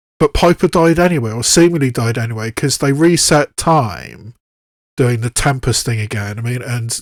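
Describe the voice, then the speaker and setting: A man with a British accent speaks at a moderate pace in a medium pitch, the sound dry and close with no echo. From southwest England, Bath. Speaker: YouTube reaction video creator. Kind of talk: casual commentary to camera. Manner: halting, with frequent restarts.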